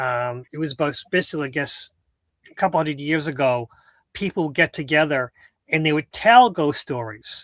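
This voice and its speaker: A man's fairly high voice with ordinary pitch variation at a moderate pace, on a very clean, dry, close recording with a silent background and no echo. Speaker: philosophy talk show co-host. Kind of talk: casual chat. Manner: halting, many repetitions and fillers.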